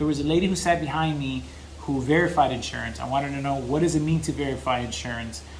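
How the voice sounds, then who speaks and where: The voice comes at a very fast pace with fairly even intonation. There is audible room echo and noticeable background noise. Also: man, fairly high pitch for a man. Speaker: business consultant and vlogger. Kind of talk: personal story monologue to camera.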